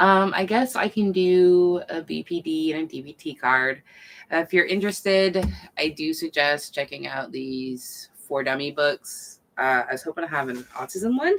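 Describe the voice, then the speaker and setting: Soft-spoken and mumbling, a woman talks at a fairly low pitch with lively intonation and big swings in loudness. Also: moderate pace. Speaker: mental health vlogger. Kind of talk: casual livestream talk. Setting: home night stream. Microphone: far from the mic.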